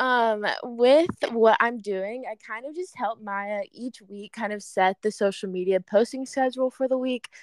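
Speaking at a fairly slow pace with hardly any pauses, a woman uses a fairly high pitch, ordinary pitch variation and big swings in loudness. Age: 20s. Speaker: social media intern and university student. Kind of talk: casual chat. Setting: call from a remote location.

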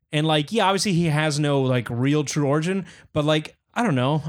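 A plain, everyday voice from a man, fairly high in pitch, with lively intonation and a fairly quick pace on a very clean recording with a silent background. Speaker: podcast co-host. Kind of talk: casual banter. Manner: casual, profane.

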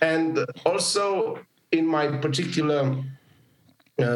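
At a very slow pace, a man speaks in a somewhat breathy voice with audible room echo. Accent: Romanian. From Romania. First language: Romanian. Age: 40s. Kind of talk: interview conversation.

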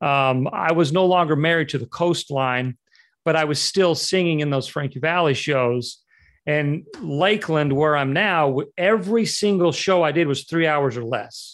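An ordinary speaking voice, a man with an American accent talks at a moderate pace and a fairly high pitch, with ordinary pitch variation on a very clean recording with a silent background. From Utah. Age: 40s. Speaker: real estate agent. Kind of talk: interview.

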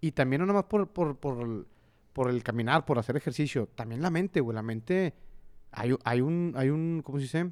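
On a very clean recording with a silent background, a man talks at a moderate pace. His pitch is fairly high with ordinary variation, and the sound is dry and close with no echo. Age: 30s. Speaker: podcast co-host. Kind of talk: casual chat. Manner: animated.

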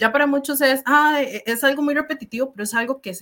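This woman's voice has a bright, sharp tone. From Costa Rica, Limón province. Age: 20s. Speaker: student. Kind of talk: panel discussion.

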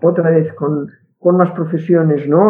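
Speaking at a fairly slow pace, a woman has a Catalan accent. Her voice is fairly low with fairly even intonation. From Catalonia. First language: Catalan (speaking Spanish). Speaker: linguist. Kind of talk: interview. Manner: halting, many repetitions.

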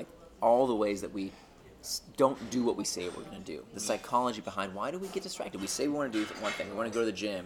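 With an American accent, a man talks at a very fast pace in a medium pitch over noticeable background noise. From United States. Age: 40s. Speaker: author. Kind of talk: interview. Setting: lunch table.

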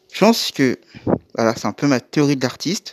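Recorded very cleanly against a silent background, a man talks at a moderate pace with very wide pitch swings in a dry, close sound with no echo. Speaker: podcast host advising online creators. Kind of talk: solo monologue podcast. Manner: stuttering, hesitant.

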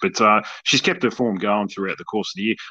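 A man with an Australian accent, fairly low pitch and a bright, sharp tone at a fairly quick pace against a quiet background. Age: 40s. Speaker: podcast host. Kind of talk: interview. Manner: halting.

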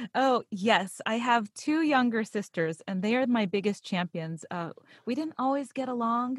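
With an American accent, a woman talks at a moderate pace in a plain, everyday voice, fairly high in pitch and lively in intonation. The sound is dry and close, without echo. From Pittsburgh, Pennsylvania. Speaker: voice actor and podcast narrator. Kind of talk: interview, conversational.

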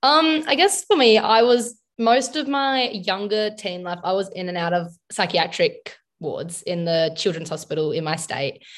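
Speaking with an Australian accent at a fairly slow pace, the voice shows very wide pitch swings on a very clean recording with a silent background. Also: woman, fairly high pitch for a woman. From South Australia. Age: 20s. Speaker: social work student. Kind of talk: interview.

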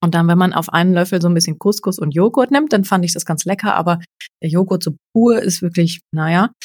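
This woman talks at a fairly quick pace with a somewhat breathy, fairly low voice and ordinary pitch variation. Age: 30s. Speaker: journalist and freelance presenter, podcaster. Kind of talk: casual chat.

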